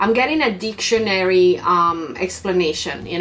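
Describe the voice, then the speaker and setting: A woman with a non-native accent, over noticeable background noise. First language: not English. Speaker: YouTuber and streamer. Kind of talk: unboxing tutorial. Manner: animated.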